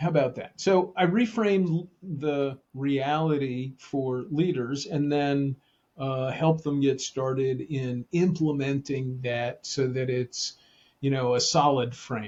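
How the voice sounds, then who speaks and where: A man with an American accent, a somewhat breathy and fairly high voice, very slow delivery and ordinary pitch variation. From New Jersey. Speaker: leadership consultant and author. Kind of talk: podcast interview. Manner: casual, hesitant with fillers.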